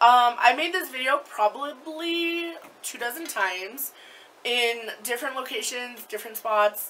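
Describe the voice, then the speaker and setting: A woman's high voice with lively intonation over light background noise. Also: fairly slow pace, big swings in loudness. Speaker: vlogger. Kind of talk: casual chat. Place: home room. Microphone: webcam.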